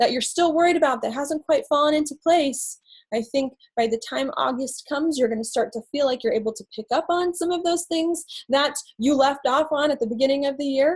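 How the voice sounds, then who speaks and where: Talking at a fairly quick pace, a woman speaks in a high voice. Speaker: astrologer. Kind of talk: live stream talk. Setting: Facebook live video. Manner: fast.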